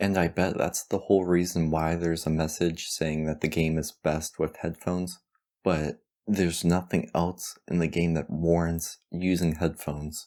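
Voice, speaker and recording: On a very clean recording with a silent background, a man speaks at a moderate pace in a very deep, low voice with a dark, mellow tone and monotone, flat intonation. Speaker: video game reviewer. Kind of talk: scripted narration.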